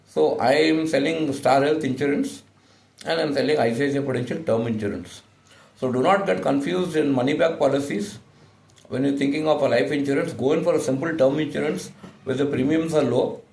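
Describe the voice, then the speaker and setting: At a fairly quick pace, the talking carries audible room echo amid noticeable background noise. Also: man, fairly high pitch for a man, ordinary pitch variation. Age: 60s. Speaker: insurance agent. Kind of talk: sales pitch. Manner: halting, many fillers.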